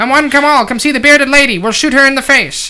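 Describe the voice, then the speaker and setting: Talking at a very fast pace, a man does a put-on character voice pitched extremely high. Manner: loud barking showman pitch.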